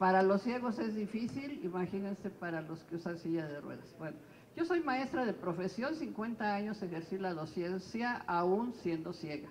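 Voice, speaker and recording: A woman speaks with lively intonation, and the room echo is audible. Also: medium pitch for a woman, moderate pace. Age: 60s. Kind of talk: press conference statement.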